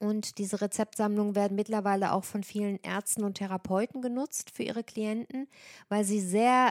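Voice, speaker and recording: Dry and close with no echo, a woman's normal speaking voice sits at medium pitch, moving at a moderate pace with fairly even intonation. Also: very clean recording, silent background. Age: 40s. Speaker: nutrition coach and podcast host. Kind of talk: solo monologue about own services.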